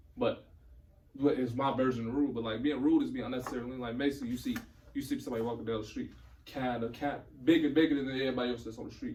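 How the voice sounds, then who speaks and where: Speaking at a very fast pace with monotone, flat intonation, a man uses a medium pitch, and the room echo is audible. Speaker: podcast guest. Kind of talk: casual chat.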